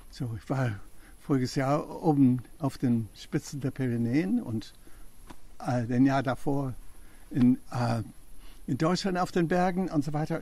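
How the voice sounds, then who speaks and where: A man speaks at a very slow pace with long, frequent pauses and ordinary pitch variation. His voice is somewhat breathy, with a dark, mellow tone. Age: 80s+. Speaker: permaculture gardener demonstrating his compost toilet. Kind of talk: casual explanatory interview on garden tour. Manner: halting, many fillers.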